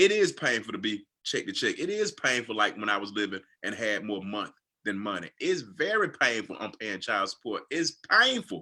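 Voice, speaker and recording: The speaker has a Southern US accent and a moderate pace in a very clean recording with a silent background. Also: man. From US South, Georgia. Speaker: financial coach. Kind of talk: livestream chat.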